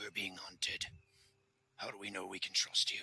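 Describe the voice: Growling, raspy put-on character voice from a man at a moderate pace.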